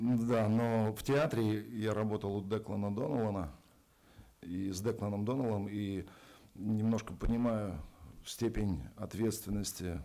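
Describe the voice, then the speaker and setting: In a Russian accent, the speaker uses a dark, mellow tone at a moderate pace with ordinary pitch variation, and audible room echo surrounds the voice. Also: man, fairly low pitch for a man. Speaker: actor. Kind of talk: press conference.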